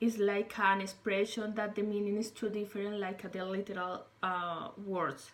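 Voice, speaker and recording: A woman with a Spanish accent speaks at a medium pitch and a moderate pace, with hardly any pauses. Her intonation is monotone and flat. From Colombia. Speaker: English learner, former English teacher. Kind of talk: self-recorded interview monologue. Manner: halting, with many fillers.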